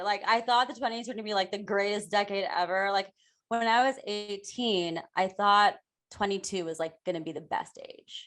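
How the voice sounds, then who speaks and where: A woman with an American accent uses a normal speaking voice at a moderate pace with ordinary pitch variation, against a quiet background. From US Midwest, Ohio. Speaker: author and improv coach. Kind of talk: podcast interview. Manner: casual, filler-heavy.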